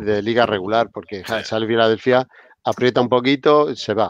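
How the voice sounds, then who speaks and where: A man's unremarkable speaking voice, medium in pitch and fairly even in intonation, at a moderate pace with a dry sound and no echo. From Spain. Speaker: basketball podcast host. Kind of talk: casual chat. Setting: live stream with chat. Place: home room. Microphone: video call.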